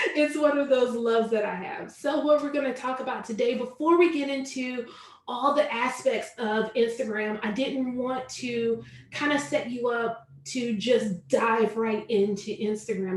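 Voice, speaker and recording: In a Southern US accent, a woman with a high pitch and ordinary pitch variation speaks with audible room echo. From US South, Charlotte, North Carolina. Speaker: online business coach. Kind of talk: webinar tutorial. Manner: slow.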